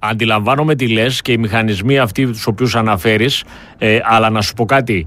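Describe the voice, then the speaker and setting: The recording is very clean with a silent background. A man with an ordinary speaking voice talks at a moderate pace, medium in pitch, with fairly even intonation. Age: 50s. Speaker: political commentator. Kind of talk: political talk show discussion. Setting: studio.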